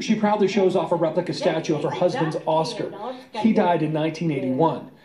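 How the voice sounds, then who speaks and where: Over noticeable background noise, a man talks at a fairly quick pace. His pitch is high, with ordinary pitch variation. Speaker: TV news reporter. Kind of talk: TV news narration.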